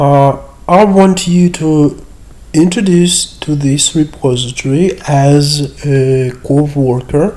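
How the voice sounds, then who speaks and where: Fairly high in pitch, a man's voice carries fairly even intonation against noticeable background noise. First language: Russian. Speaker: university lecturer. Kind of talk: screen-share tutorial. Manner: hesitant with fillers.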